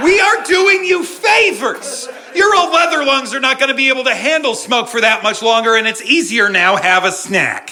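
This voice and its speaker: Amid audible room echo and noticeable background noise, a man in a raised, projected voice at an extremely high pitch swings very widely in pitch, keeping very even loudness at a moderate pace with hardly any pauses. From New England. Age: 30s. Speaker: comedian. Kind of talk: stand-up. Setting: stage with audience. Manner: animated.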